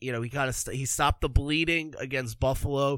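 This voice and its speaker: A plain, everyday voice with an American accent and ordinary pitch variation, on a very clean recording with a silent background. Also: man. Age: 20s. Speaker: hockey podcast host. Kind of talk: casual solo podcast commentary.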